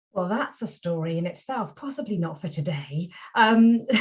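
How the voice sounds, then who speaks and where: With lively intonation, a woman speaks in a somewhat breathy voice. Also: medium pitch for a woman, moderate pace. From England. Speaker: voice actor. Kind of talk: interview answer. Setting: video call.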